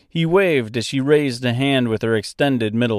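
Someone reads plainly out loud. Their pitch varies by ordinary amounts.

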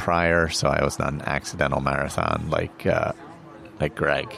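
Music plays in the background. A man speaks with a very deep, low pitch. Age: 50s. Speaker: podcast co-host, runner. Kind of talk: casual chat. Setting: birthday party at a brewery.

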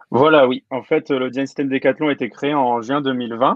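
A man in an unremarkable speaking voice talks at a medium pitch and a moderate pace. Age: 20s. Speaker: design system lead. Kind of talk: interview.

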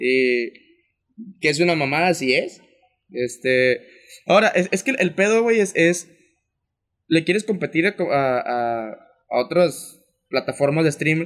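Speech comes at a fairly slow pace with long, frequent pauses. The intonation is lively, yet the loudness stays very even. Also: man, fairly high pitch for a man. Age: 20s. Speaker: podcast co-host. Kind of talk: casual chat.

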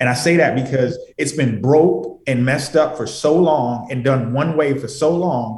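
An ordinary speaking voice, its intonation fairly even. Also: man, fairly high pitch for a man, moderate pace. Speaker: trucking company founder. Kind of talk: radio interview, conversational business talk. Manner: earnest, fluent, motivational.

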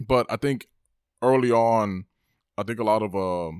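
The sound is dry and close, with no echo, on a very clean recording with a silent background. The speaker goes at a fairly slow pace with ordinary pitch variation. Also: man. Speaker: podcast co-host. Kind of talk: casual chat.

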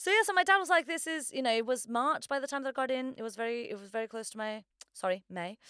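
A woman uses a raised, projected voice that is high-pitched with a bright, sharp tone. She talks at a very fast pace, with very wide pitch swings and big swings in loudness. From Portugal. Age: 30s. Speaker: theatre director. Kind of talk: casual interview chat.

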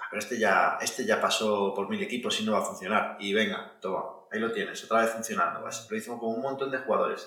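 Noticeable background noise and audible room echo around a man's speech. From Galicia, Spain (Vigo). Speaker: podcast host. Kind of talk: casual chat.

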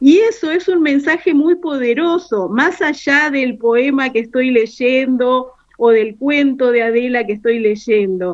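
Her pace very slow yet with hardly any pauses, a woman speaks in a high voice with lively intonation. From Entre Ríos, Argentina. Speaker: literature teacher, library director. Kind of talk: radio interview. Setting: remote call.

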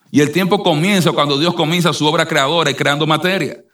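Bright and sharp in tone, a man's voice sits at fairly high pitch with ordinary pitch variation. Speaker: preacher. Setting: church. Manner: earnest, persuasive preaching.

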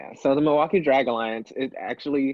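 A man speaks in an American accent with an unremarkable speaking voice. His pace is moderate and his pitch variation ordinary. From Texas, Houston. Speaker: drag performer. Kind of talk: casual chat.

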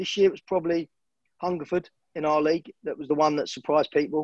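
The sound is dry and close with no echo. The speaker has a southeast English accent. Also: man. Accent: south-east English. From Hertfordshire, England (Hemel Hempstead). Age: 40s. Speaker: football manager and former player. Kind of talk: interview.

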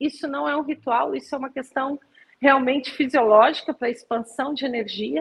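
A woman talks at a moderate pace. Her voice is high, with ordinary pitch variation. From Brazil, Rio de Janeiro. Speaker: meditation and yoga teacher. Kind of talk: interview.

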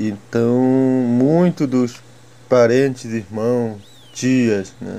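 Noticeable background noise fills the space as a man speaks at a very slow pace. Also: medium pitch for a man, fairly even intonation. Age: 20s. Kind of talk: testimony. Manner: halting.

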